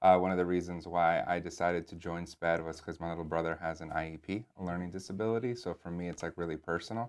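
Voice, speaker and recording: Very fast and with hardly any pauses, a man speaks in a very deep, low voice with fairly even intonation, on a very clean recording with a silent background. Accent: Spanish. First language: Spanish. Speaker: assistant principal. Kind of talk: interview. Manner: casual, with fillers.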